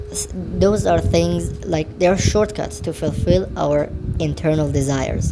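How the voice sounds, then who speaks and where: A woman with a non-native accent speaks over music in the background. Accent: foreign. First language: not English. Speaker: podcast host. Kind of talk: solo podcast monologue. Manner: sped up to 125%, not natural pitch.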